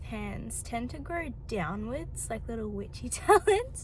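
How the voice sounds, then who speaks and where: With an Australian accent, a woman talks at a fairly slow pace amid noticeable background noise and audible room echo. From Melbourne, Australia. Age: 20s. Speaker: vlogger. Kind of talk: casual vlog talk to camera.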